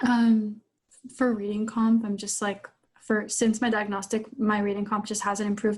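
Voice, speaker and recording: Somewhat breathy and fairly high in pitch, the woman speaks at a moderate pace with monotone, flat intonation. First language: not English. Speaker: LSAT student. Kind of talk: coaching session. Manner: halting, many fillers.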